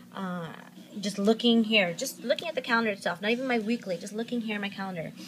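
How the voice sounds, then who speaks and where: This woman's voice sits at a medium pitch and varies an ordinary amount. She talks fairly quickly. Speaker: planner vlogger. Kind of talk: tutorial. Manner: fast; hesitant with fillers.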